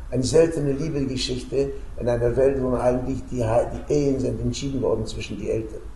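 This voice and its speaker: A man talking at a fairly quick pace, with audible room echo and light background noise. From Romania. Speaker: peace activist, Holocaust survivor; witness. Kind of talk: storytelling to school students; interview answer. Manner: hesitant, many filler sounds. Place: home room.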